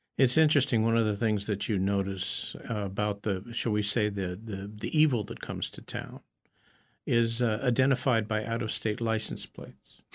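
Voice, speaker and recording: Over a quiet background, a man talks at a moderate pace in a normal speaking voice with fairly even intonation. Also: fairly low pitch for a man. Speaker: radio host. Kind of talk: radio interview. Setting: radio studio.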